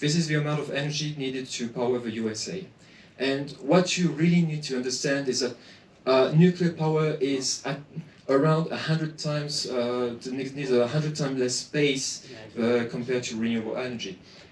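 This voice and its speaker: Room echo is audible around a man's fairly high voice. He speaks at a fairly quick pace. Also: ordinary pitch variation. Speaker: association president giving a talk. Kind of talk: presentation. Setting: conference with audience. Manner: hesitant, many fillers.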